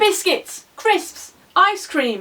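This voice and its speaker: A woman puts on a shrill character voice pitched extremely high. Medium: read story.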